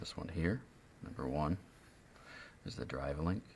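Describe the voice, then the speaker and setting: A man is whispering. His tone is relaxed. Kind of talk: instructional tutorial explanation. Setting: indoors, close to the microphone, ASMR-style recording. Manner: soft-spoken, relaxed.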